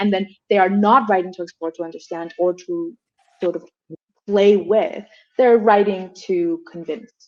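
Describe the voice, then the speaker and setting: A woman with a Colombian accent speaks at a medium pitch and moderate pace, with ordinary pitch variation. Her loudness swings widely, and she leaves long, frequent pauses. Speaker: professor and translator. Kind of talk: panel discussion.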